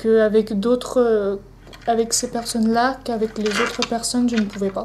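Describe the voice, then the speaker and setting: Spoken at a moderate pace with a monotone, flat intonation. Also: woman, fairly high pitch for a woman. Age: 20s. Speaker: interviewee with dyspraxia. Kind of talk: testimony interview. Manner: halting, many hesitations.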